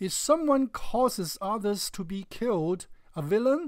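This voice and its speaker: The speaker has a Chinese accent. The pace is fairly slow. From China. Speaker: religious video commentator. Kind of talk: response video argument.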